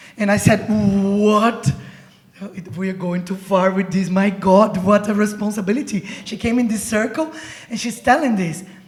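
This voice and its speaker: A woman with a Brazilian Portuguese accent speaks in an animated tone over noticeable background noise. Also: medium pitch for a woman, ordinary pitch variation, moderate pace. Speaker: poet. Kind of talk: panel discussion.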